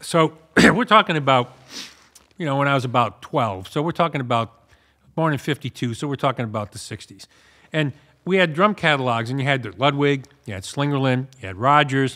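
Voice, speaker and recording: Speaking with an American accent at a fairly high pitch, a man has a bright, sharp tone and lively intonation, his loudness swinging widely. He moves at a fairly quick pace but leaves long, frequent pauses. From US East Coast. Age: 60s. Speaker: drum shop owner. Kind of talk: casual chat. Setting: shop annex. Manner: relaxed.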